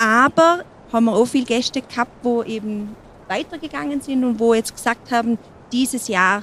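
Moderate pace and lively intonation from a woman with an ordinary speaking voice, pitched fairly high. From Montafon, Vorarlberg, Austria. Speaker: mountain hut landlady. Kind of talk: interview. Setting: mountain hut.

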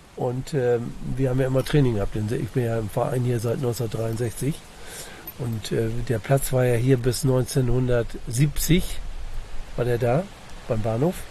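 A man speaks at a very slow pace, leaving long, frequent pauses. His intonation is fairly even, and noticeable background noise is present. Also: medium pitch for a man. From East Frisia, northern Germany. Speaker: local resident met on a hike. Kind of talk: casual interview.

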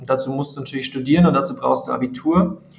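Background noise can be clearly heard. Pitch moves with ordinary variation. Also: man. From Bavaria, Regensburg. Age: 30s. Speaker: math tutor and education creator. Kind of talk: interview.

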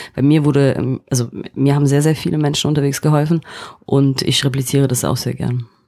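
A woman speaks at a fairly quick pace in a very deep, low voice. Her intonation stays flat and monotone. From East Germany (East Berlin). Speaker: finance executive. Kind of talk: interview. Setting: studio. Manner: halting, many repetitions and fillers.

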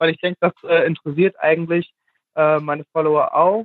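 A man's high voice in monotone, flat intonation. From Germany, Hesse (near Fulda). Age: 20s. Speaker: fashion blogger. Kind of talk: casual interview. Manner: hesitant, many fillers.

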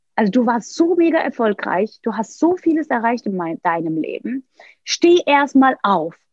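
Speaking in a Turkish accent, this woman has a high pitch. Her pitch swings very widely at a fairly slow pace. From Turkey, Istanbul. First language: Turkish (speaking German). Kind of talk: interview, personal story.

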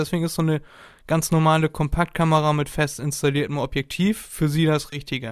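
A man speaks at a fairly quick pace with a fairly high pitch and fairly even intonation. The recording is very clean, with a silent background. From northern Germany, near Hamburg. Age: 20s. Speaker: podcaster, student. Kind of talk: casual chat.

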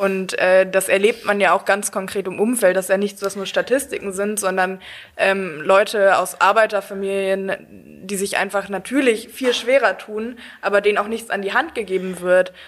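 At a moderate pace, a woman uses a normal speaking voice with medium pitch and fairly even intonation. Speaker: law student, politician. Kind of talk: casual chat.

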